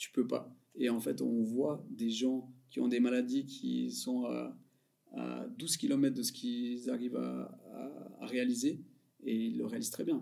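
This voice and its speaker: Leaving long and frequent pauses, a man talks very slowly. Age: 30s. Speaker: comedian. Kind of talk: casual chat.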